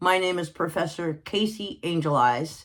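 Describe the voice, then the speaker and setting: In a fairly low voice, a woman speaks at a very slow pace. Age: 60s. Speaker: spiritual teacher. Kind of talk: unscripted teaching monologue. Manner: halting, many fillers; casual, conversational.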